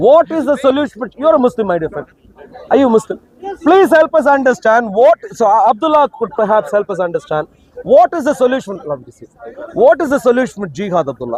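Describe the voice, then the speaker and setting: Pausing long and often yet talking at a fairly quick pace, a man uses an extremely high voice with very wide pitch swings, in a dry, close sound with no echo. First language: not English. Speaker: street debater. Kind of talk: heated debate. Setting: outdoors.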